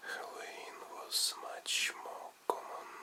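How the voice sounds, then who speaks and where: Whispering in a gentle tone with a Russian accent, at a very slow pace, over noticeable background noise. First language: non-native English speaker. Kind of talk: ASMR sleep story. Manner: soft-spoken, gentle.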